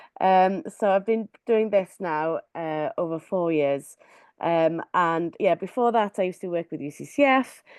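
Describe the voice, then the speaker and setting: With a Welsh accent, a woman speaks at a medium pitch and fairly slow pace with ordinary pitch variation, in a dry, close sound with no echo. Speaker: creative evangelist and artist. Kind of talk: webinar talk.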